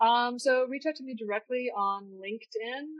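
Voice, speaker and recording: A woman with a Canadian accent at a moderate pace. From Canada, Niagara region of Ontario. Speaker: tech startup founder and former architect. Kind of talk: interview. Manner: halting, many fillers.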